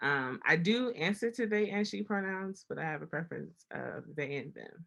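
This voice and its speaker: A woman with an American accent speaks at a moderate pace in a fairly low pitch with vocal fry. Her intonation is lively and her loudness swings widely. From Baltimore, Maryland. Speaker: university student services staff, panelist. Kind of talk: panel discussion.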